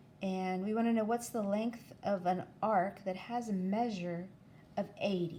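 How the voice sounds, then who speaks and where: Her voice dark, mellow and somewhat breathy, a woman speaks at a medium pitch with ordinary pitch variation. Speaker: math teacher. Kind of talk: tutorial.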